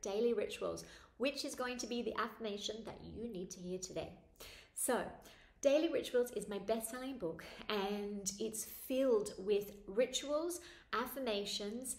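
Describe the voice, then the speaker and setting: A woman with a fairly high pitch speaks at a fairly slow pace with ordinary pitch variation and big swings in loudness, with audible room echo. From Australia. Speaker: spiritual author and meditation teacher. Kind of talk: casual talk to camera introducing a ritual. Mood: warm, gentle, upbeat. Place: home room. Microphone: phone near.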